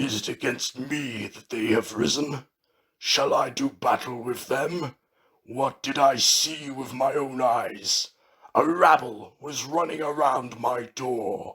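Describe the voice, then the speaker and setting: A man puts on a raspy character voice at a medium pitch, speaking at a fairly slow pace. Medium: read story.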